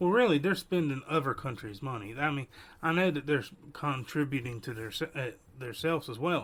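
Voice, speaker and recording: A man speaks at a fairly high pitch with an Appalachian accent. His pace is fairly quick. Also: ordinary pitch variation. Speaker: podcast host. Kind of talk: casual commentary. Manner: soft-spoken.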